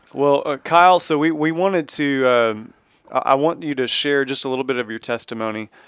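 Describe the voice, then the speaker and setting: A man speaks with a Texan accent. His pitch is fairly high, and his pace is fairly quick. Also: ordinary pitch variation. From Texas. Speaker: podcast host at a church. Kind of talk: casual interview.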